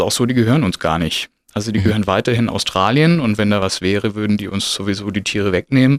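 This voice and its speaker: The recording is very clean, with a silent background. A man speaks very fast in a fairly low pitch with ordinary pitch variation. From Stuttgart, southwest Germany. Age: 30s. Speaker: zookeeper. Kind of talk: casual interview.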